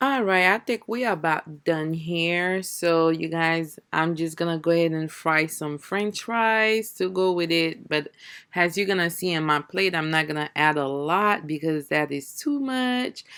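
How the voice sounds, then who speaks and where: Someone with a non-native accent speaks with hardly any pauses on a very clean recording with a silent background. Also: woman, fairly low pitch for a woman, ordinary pitch variation, fairly slow pace. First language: not English. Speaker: family vlogger. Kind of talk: cooking vlog. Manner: casual, chatty.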